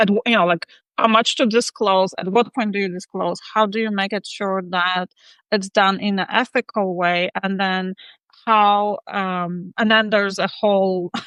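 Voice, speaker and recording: Over a quiet background, a woman with a non-native accent speaks at a medium pitch in a bright, sharp tone and a monotone, flat intonation, the sound dry and close with no echo. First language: not English. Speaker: interview show host. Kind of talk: casual chat. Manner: halting, many fillers.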